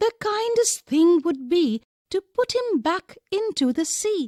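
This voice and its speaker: In a squeaky, put-on character voice at an extremely high pitch, a woman speaks at a fairly slow pace with very wide pitch swings, the sound dry and close with no echo. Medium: read story. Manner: soft-spoken, whispering.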